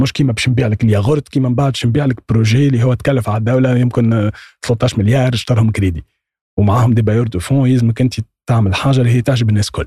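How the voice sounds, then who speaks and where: A man talks at a very fast pace with a medium pitch and ordinary pitch variation. His dark, mellow, somewhat breathy tone sounds dry and close, with no echo. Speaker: copywriter. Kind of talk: casual chat.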